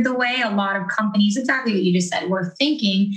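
Audible room echo surrounds a speaker with an American accent and ordinary pitch variation. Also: woman. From Florida. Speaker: podcast host and DJ. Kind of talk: casual chat. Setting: video call.

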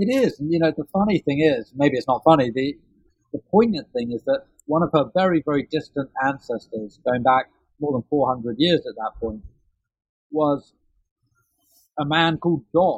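Long, frequent pauses break up this man's moderate pace, with lively intonation and a fairly high pitch. He speaks in a British accent. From London, England. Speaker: author. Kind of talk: interview.

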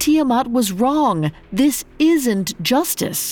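A woman speaks at a very slow pace in a put-on character voice, high in pitch and slightly mellow in tone, with lively intonation. Faint music plays in the background.

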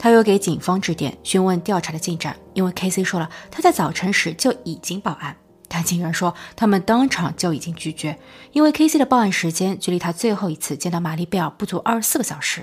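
A woman's fairly quick speech with lively intonation, music playing in the background. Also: medium pitch for a woman. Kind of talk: scripted narration.

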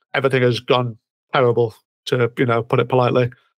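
Moving at a fairly quick pace, a man speaks in a medium pitch. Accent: British. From Britain. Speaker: comic writer and musician. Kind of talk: casual interview chat. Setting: remote call at night.

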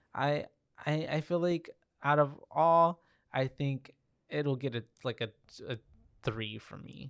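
Long, frequent pauses break up a man's very slow speech. He talks with an American accent. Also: ordinary pitch variation, big swings in loudness. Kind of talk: casual chat.

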